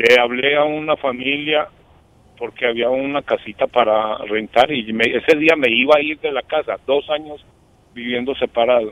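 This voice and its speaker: A man's medium-pitched, ordinary speaking voice, with fairly even intonation at a moderate pace. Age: 50s. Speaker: caller. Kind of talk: testimony. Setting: phone call.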